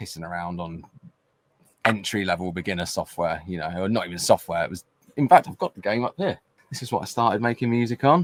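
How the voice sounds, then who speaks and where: With a southern English accent, a man speaks at a very fast pace in a very deep, low pitch, his loudness swinging widely, the sound dry and close with no echo. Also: ordinary pitch variation. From southern England, Winchester. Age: 30s. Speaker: music producer. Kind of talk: interview.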